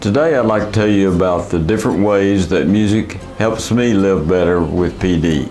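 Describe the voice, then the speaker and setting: Music plays in the background as a man speaks at a fairly low pitch with ordinary pitch variation. Audible room echo surrounds his voice. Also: moderate pace, very even loudness. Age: 70s. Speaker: person with Parkinson's sharing experience. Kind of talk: video blog talk to camera.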